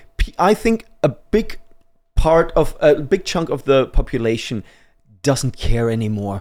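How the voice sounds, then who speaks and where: A man with a German accent speaks at a fairly slow pace. His pitch swings very widely. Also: fairly high pitch for a man. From Germany. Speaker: men's rights activist. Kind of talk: casual chat.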